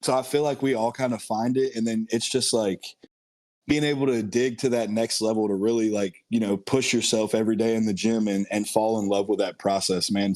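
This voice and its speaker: A man with a normal speaking voice talks at a fairly quick pace, at medium pitch with fairly even intonation, in a very clean recording with a silent background. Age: 30s. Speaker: bodybuilder and excavation worker. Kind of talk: casual chat.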